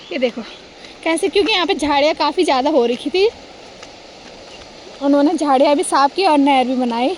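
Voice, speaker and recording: A woman speaks in a high pitch with ordinary variation, leaving long, frequent pauses. Noticeable background noise is present. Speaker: vlogger. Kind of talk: casual vlog narration. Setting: outdoors, walking to village.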